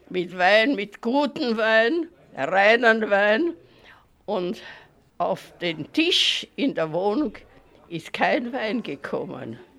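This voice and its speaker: A woman speaks at a very slow pace with a medium pitch. Her voice swings very widely in pitch and shows vocal fry. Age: 90s. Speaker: elderly writer for a minority magazine. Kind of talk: interview recollection.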